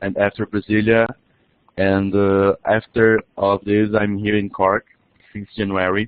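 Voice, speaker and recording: With a Portuguese accent, a man speaks at a fairly low pitch. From Brazil. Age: 20s. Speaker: international student. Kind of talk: webinar presentation. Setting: online webinar. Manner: halting, many restarts.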